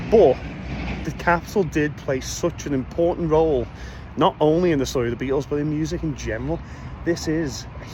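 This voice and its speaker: With a Liverpool accent, a man talks at a fairly quick pace over noticeable background noise. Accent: Liverpool (Scouse). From Liverpool, England. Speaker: podcast host and Beatles guide. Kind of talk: casual vlog narration. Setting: outdoors on location. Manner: animated.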